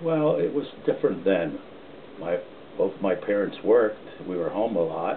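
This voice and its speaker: Noticeable background noise runs behind the speech. A man talks at a moderate pace with ordinary pitch variation. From northern New Jersey (Montclair). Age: 80s+. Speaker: retired policeman and author. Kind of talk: casual family interview.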